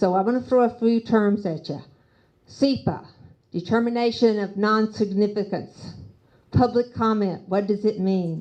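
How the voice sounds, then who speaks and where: A woman speaks with a fairly high pitch and a dark, mellow tone, with an American accent. Her pitch varies in an ordinary way. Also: moderate pace. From US South, Nashville. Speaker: city council candidate. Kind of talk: candidate forum speech.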